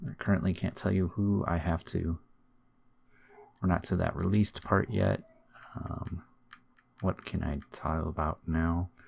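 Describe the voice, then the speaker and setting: Very deep and low, a man's voice comes quietly at a fairly slow pace with ordinary pitch variation. He leaves long, frequent pauses. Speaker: video game streamer. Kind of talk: gaming commentary. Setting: home recording in new room. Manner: casual.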